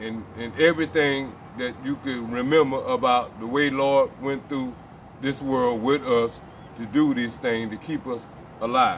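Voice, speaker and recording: Against noticeable background noise, the speech comes at a fairly slow pace with fairly even intonation. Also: man, medium pitch for a man. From Florida. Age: 70s. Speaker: civil rights pioneer. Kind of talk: interview.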